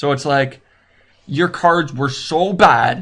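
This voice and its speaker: A man's somewhat breathy, fairly high-pitched voice with lively intonation. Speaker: game tutorial video maker. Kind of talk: tutorial. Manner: fast; halting.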